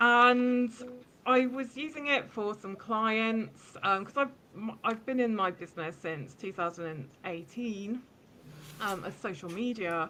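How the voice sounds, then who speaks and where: In a British accent, a woman talks at a fairly slow pace and fairly high pitch, her tone bright and sharp, her intonation lively and her loudness swinging widely. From England, Bedford. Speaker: social media marketing consultant. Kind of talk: podcast interview.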